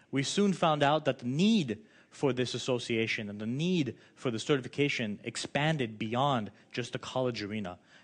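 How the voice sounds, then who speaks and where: A man speaks at medium pitch with lively intonation. The background is quiet. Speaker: education business owner and tutoring association representative. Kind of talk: conference presentation. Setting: conference with translators. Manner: fast.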